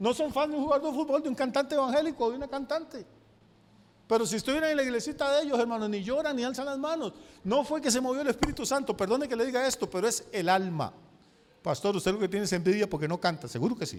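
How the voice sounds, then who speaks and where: Talking very fast in a Costa Rican accent, a man uses an extremely high pitch and lively intonation. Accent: Costa Rican, noticeable. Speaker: pastor. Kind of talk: sermon.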